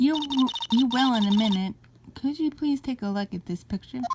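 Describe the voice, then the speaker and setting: A put-on character voice is used here. It sits fairly high in pitch and moves at a moderate pace. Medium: actual play.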